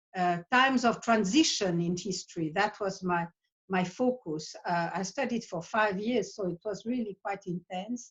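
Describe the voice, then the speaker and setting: The speaker is a woman with a somewhat breathy voice. She keeps to a moderate pace. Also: medium pitch for a woman, ordinary pitch variation. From Switzerland. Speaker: psychotherapist. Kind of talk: interview monologue. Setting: video call. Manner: halting.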